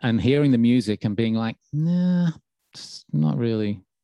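With a Birmingham accent, a man speaks in a dark, mellow tone with very wide pitch swings, in a dry, close sound with no echo. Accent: Birmingham lilt. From England, Birmingham. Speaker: radio DJ and podcast host. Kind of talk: interview answers, casual chat.

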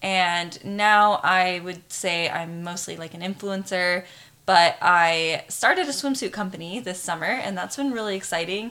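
A woman with an American accent has a plain, everyday voice at a medium pitch with ordinary pitch variation. She speaks at a fairly slow pace, and her loudness swings widely. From Arizona. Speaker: influencer and swimsuit business owner. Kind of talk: casual chat.

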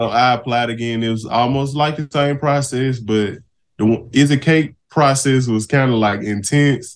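A man speaks with a Mississippi accent at a moderate pace. His medium pitch keeps a fairly even intonation. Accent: Southern US (Mississippi). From US South, Mississippi Delta. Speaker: cake baker, baking show contestant. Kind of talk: casual interview.

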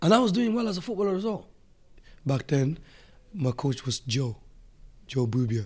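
Somewhat breathy and fairly high in pitch, a man talks at a moderate pace with very wide pitch swings and long, frequent pauses. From Africa. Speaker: Muay Thai fighter and coach. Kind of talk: casual chat.

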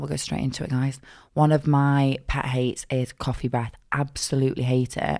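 In a very clean recording with a silent background, a woman with a very deep, low pitch speaks in a monotone, flat intonation at a moderate pace. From South Manchester, England.

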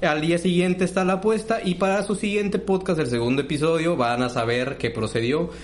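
The speech moves at a fairly quick pace with hardly any pauses, lively intonation, and very even loudness. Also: man, high pitch for a man. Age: 20s. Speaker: podcast co-host. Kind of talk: casual chat.

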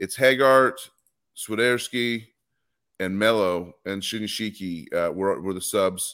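With long, frequent pauses, a man speaks at a fairly slow pace in a fairly low, bright, sharp voice with ordinary pitch variation, in a very clean recording with a silent background. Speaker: soccer podcast co-host. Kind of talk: casual chat. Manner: talkative.

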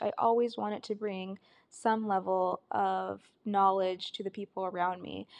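A woman with an American accent at a moderate pace, in a dry, close sound with no echo against a quiet background. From Arizona, US (Tucson area). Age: 30s. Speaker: podcast host, creative/photographer. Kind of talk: solo podcast monologue. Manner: casual, with frequent laughs and fillers.

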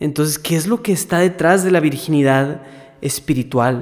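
Ordinary pitch variation at a fairly slow pace. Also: man. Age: 20s. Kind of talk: casual conversation on faith topics.

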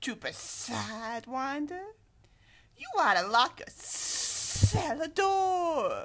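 A female-sounding put-on character voice, high in pitch, moves at a very slow pace. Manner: sneering, taunting.

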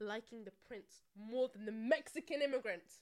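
A woman with a London accent speaks at a high pitch. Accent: London accent, non-rhotic. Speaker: podcast co-host. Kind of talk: casual chat. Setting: recorded on camera.

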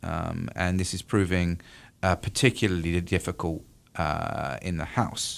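In a very clean recording with a silent background, a man with a British accent speaks at a fairly slow pace in a very deep, low voice with ordinary pitch variation. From UK. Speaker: university professor of political science. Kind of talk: radio interview on politics. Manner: halting, with many fillers.

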